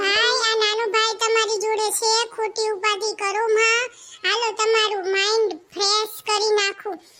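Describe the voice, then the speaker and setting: Over background music, a woman does a squeaky, cartoonish character voice at a fairly slow pace with very even loudness. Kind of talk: comic overacting. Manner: cheerful, theatrical.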